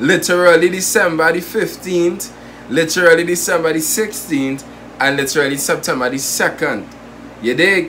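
Over light background noise, a man with a high pitch talks fairly slowly. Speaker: vlogger. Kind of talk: casual vlog chat. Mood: amused, joking. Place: home room. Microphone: phone near.

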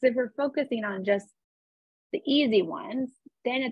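A woman's vocal fry over a quiet background, the sound dry with no echo. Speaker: real estate agent and coach; presenter, real estate coach. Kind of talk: calm guided visualization, eyes-closed breathing exercise led over video call. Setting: video call. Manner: warm, chatty, encouraging. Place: home room. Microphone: webcam.

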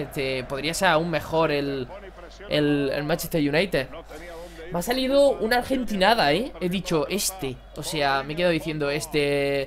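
An animated tone in an Andalusian accent, at a fairly slow pace, with noticeable background noise. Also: man. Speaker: gaming YouTuber. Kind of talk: gameplay commentary. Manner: casual.

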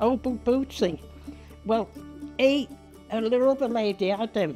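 With faint music in the background, a woman speaks at a moderate pace in a Liverpool accent. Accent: Liverpool (Scouse). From Liverpool, England. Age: 80s+. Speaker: long-time resident of social housing, pensioner. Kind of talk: interview answer, chatty personal reminiscence. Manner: chatty, warm, animated. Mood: warm, chatty. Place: home room.

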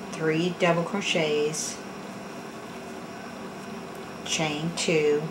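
At a very slow pace, a woman speaks at a low pitch with little pitch movement over clear background noise.

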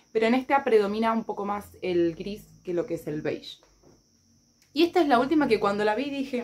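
A woman speaks in a Rioplatense accent with lively intonation. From Argentina. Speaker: YouTuber. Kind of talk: casual haul video. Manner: animated. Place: home room. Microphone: phone near.

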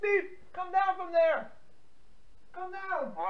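A man puts on a character voice. It is pitched extremely high. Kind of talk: prank call comic acting. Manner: urgent, exasperated, pleading.

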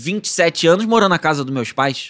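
A man speaks at a fairly quick pace. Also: quiet background. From Brazil, Petrópolis (Rio de Janeiro state). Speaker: actor and content creator. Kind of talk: casual interview chat. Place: studio. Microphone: studio mic.

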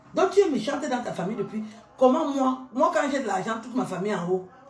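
Audible room echo and light background noise surround a woman's voice. She speaks at a high pitch with ordinary pitch variation. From Cameroon. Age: 50s. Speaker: YouTuber; social media commentator. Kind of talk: rant; heated rant to camera. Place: bathroom. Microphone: phone near.

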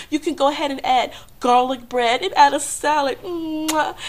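High pitch from a woman with lively intonation at a fairly slow pace. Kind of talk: casual vlog chat. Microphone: webcam.

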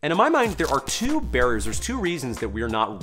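A man talks while clear music is heard in the background. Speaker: gym business coach. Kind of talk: advice talk to camera. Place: home room.

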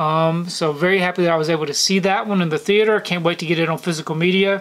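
A man speaks with an American accent at a fairly quick pace. His high-pitched voice keeps a monotone, flat intonation. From US South, Georgia. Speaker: YouTuber, film collector; movie collector reviewer. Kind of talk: casual monthly film recap to camera. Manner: casual, frequent fillers (um). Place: home room.

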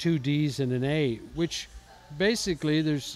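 This man's voice has ordinary pitch variation and a dry sound with no echo. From Ontario, Canada. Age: 50s. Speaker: blues guitarist and songwriter; interviewee. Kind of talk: interview. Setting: music festival. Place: home room. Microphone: handheld.

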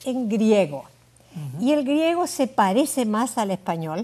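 A woman's high-pitched voice with very wide pitch swings, at a fairly slow pace. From Uruguay. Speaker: Bible languages scholar; interview guest. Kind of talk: interview. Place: studio. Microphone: lapel.

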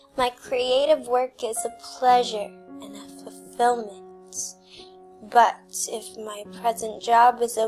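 Faint music plays behind a calm, soothing voice with ordinary pitch variation. The pace is very slow. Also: woman. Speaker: hypnotist. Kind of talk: hypnosis script for sleep and abundance. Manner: calm, slow, soothing. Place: home room.

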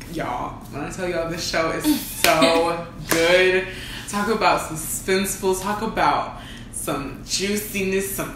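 Speaking at a fairly slow pace, a woman swings widely in loudness, with noticeable background noise and audible room echo. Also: ordinary pitch variation. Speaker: co-host. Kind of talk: casual vlog chat. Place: home room.

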